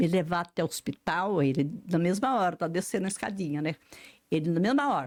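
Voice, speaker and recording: Intonation is lively, and the tone comes across dark and mellow. The sound is dry and close, without any echo. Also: woman. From rural Brazil. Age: 80s. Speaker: writer and retired psychologist. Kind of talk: interview answer, personal life story.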